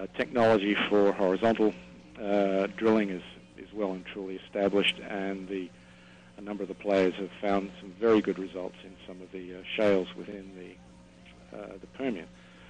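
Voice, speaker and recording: A man with an Australian accent, fairly low in pitch, with ordinary pitch variation. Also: moderate pace. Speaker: oil company executive. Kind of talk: interview. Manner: halting, many fillers.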